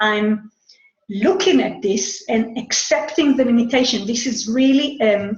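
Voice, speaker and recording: A woman at a moderate pace, with lively intonation. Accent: Israeli. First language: Hebrew. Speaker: human design astrology teacher. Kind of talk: monologue talk. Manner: halting, with repetitions.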